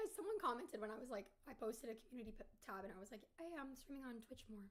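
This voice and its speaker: Delivering her words at a very fast pace, a woman uses a high pitch and lively intonation. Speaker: streamer. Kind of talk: casual chat.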